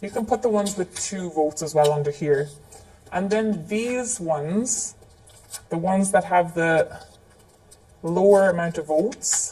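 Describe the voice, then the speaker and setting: This woman talks fairly slowly and stops often for long pauses. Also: medium pitch for a woman, ordinary pitch variation. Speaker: facilitation trainer. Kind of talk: live training tutorial. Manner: casual, conversational with fillers.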